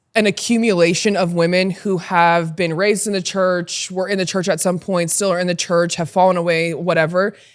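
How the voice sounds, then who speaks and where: In a very clean recording with a silent background, a voice with an American accent speaks in a flat monotone at a fairly quick pace, with hardly any pauses. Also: woman, fairly low pitch for a woman. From Utah, US. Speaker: podcast guest, former basketball player. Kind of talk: casual chat. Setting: podcast recording.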